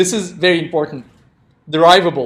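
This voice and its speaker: A man with a non-native accent speaks at a high pitch. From Turkey. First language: non-native English speaker. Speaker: programming instructor. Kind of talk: interactive lecture. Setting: classroom with live audience, streamed.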